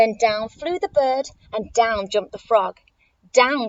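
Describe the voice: Plain reading aloud with lively intonation against a quiet background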